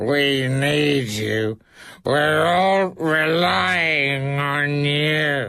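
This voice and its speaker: Using a put-on character voice, a man speaks very slowly in a fairly high pitch. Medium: read story.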